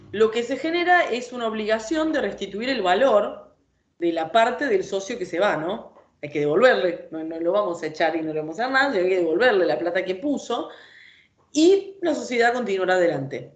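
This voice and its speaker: A woman's voice at a moderate pace, very wide pitch swings, and audible room echo. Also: medium pitch for a woman. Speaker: law lecturer. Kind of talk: lecture.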